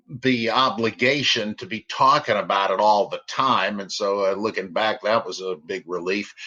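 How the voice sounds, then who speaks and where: With an American accent, a man speaks at a moderate pace with hardly any pauses, a fairly low pitch and ordinary pitch variation. Noticeable background noise runs under his voice. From Mississippi, then New Jersey from age ten. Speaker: biblical scholar. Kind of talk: interview. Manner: hesitant, many fillers.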